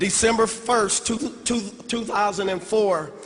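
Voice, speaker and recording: This man's voice sits high in pitch, with noticeable background noise around it. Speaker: network marketing distributor, former youth pastor. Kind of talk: convention speech.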